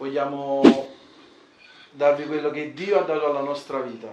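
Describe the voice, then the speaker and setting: A man's fairly high-pitched voice amid noticeable background noise and audible room echo. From Italy, Naples (Scampia-Secondigliano). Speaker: ex-mafia convert giving testimony. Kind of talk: testimony through interpreter.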